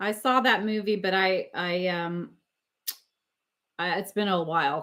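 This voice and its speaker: A bright, sharp tone comes through at a very slow pace. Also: woman. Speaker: record collector and live streamer. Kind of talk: casual live stream chat. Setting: live stream with chat.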